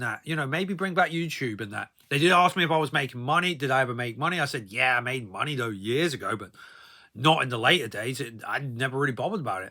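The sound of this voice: With a bright, sharp tone, a man speaks at a fast pace. His intonation is lively.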